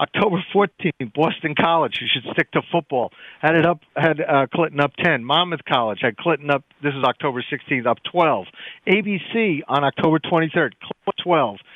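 A man with an unremarkable speaking voice, fairly high in pitch, lively intonation and a moderate pace. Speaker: pollster. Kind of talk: political discussion.

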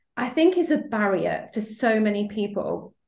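A somewhat breathy woman's voice, fairly high in pitch, with lively intonation. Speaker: sales coach and podcast host. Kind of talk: podcast interview, intro and outro.

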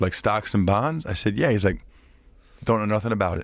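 Speaking very fast, a man keeps ordinary pitch variation in a very clean recording with a silent background. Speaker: former NFL offensive lineman and podcaster. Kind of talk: casual interview chat.

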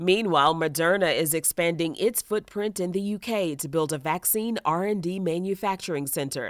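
At a moderate pace, a woman with a fairly low pitch speaks in a plain, everyday voice on a very clean recording with a silent background. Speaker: finance news podcast host. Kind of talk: formal newsreading. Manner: brisk, even, businesslike delivery of figures; polished and formal.

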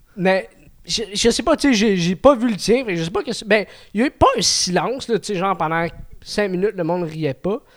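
This man has a high-pitched voice with lively intonation. He talks at a moderate pace. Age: 20s. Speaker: amateur comedian. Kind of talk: casual chat.

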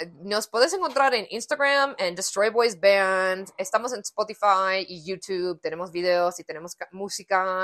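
A woman's ordinary speaking voice at medium pitch, with ordinary pitch variation, big swings in loudness, a fairly slow pace and hardly any pauses. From United States. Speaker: punk band musician. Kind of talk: casual interview.

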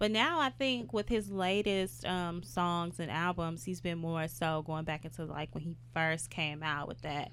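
A woman with a fairly low pitch uses an ordinary speaking voice, talking at a fairly slow pace with hardly any pauses and ordinary pitch variation. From Houston, Texas. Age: 20s. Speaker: media personality. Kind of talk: casual chat.

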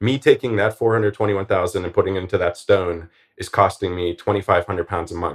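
Speaking at a very fast pace in an American accent, a man keeps a fairly low pitch and fairly even intonation with a somewhat breathy voice. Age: 40s. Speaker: early retiree and finance blogger. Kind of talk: interview.

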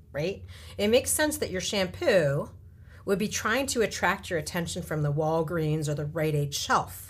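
With vocal fry and very wide pitch swings, the speech moves at a moderate pace. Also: woman, very deep, low pitch for a woman. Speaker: tech entrepreneur and investor. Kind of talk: interview. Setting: studio.

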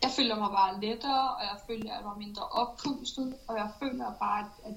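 A woman with a fairly high pitch and ordinary pitch variation speaks at a moderate speed, with noticeable noise behind her. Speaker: elite runner. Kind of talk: pre-recorded interview answers. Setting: remote recording from training camp. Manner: concise.

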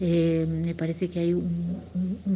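The voice is somewhat breathy, monotone and flat, moving at a very slow pace. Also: woman. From Argentina, Tucumán (Tafí Viejo). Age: 40s. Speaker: singer-songwriter and music teacher. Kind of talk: interview.

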